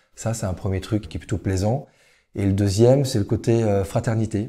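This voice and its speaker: A man's dark, mellow, somewhat breathy voice at a moderate pace with fairly even intonation, on a very clean recording with a silent background. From western France (Le Mans, Niort, Nantes). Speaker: entrepreneur. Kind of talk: interview. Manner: hesitant, many fillers.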